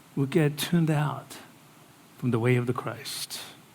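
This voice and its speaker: A man with a fairly high pitch talks amid audible room echo. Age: 60s. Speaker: pastor. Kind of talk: sermon.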